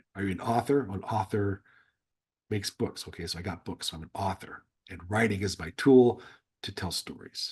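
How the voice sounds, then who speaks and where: This man's voice is very deep and low, with ordinary pitch variation. It sounds somewhat breathy. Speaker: former intelligence officer and novelist. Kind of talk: interview conversation. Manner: halting, with false starts.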